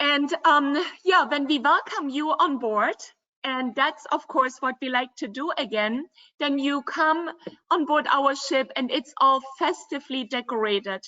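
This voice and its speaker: With a German accent, a woman speaks fairly slowly in a high voice with ordinary pitch variation. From Germany, Dresden (former East Germany). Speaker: river cruise company representative. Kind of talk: virtual travel presentation.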